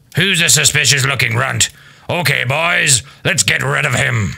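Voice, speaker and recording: A man's raspy, put-on character voice at a medium pitch and moderate pace. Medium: game stream. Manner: menacing, boastful.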